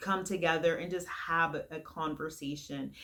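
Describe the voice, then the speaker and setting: A woman speaks at a fairly low pitch and a fairly slow pace. Her tone is bright and sharp, with fairly even intonation. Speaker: leadership coach. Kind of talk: motivational talk to camera. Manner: conversational, with fillers.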